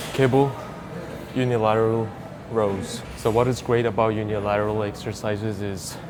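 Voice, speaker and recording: A man speaks in a flat monotone, with noticeable background noise and an audible echo in the room. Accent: non-native. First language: not English. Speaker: fitness youtuber. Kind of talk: workout tutorial. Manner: casual, conversational.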